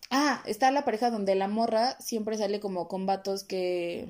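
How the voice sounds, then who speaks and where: In a very clean recording with a silent background, a woman speaks at a medium pitch in a dark, mellow tone. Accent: Mexican. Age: 20s. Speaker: podcast host. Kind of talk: solo monologue podcast.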